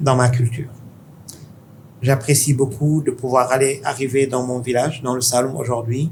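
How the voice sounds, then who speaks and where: This man speaks at a moderate pace in a medium pitch, somewhat breathy and monotone, with long, frequent pauses. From Senegal (Dakar). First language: Pulaar (speaking French). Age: 50s. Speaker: tech investor. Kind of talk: interview conversation. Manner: halting.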